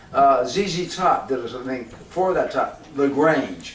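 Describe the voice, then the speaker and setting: A man with an American accent speaks with lively intonation. Audible room echo and noticeable background noise fill the recording. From Southern California, Hollywood. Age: 70s. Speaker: jazz clarinetist. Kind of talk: casual storytelling monologue. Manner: animated, profane.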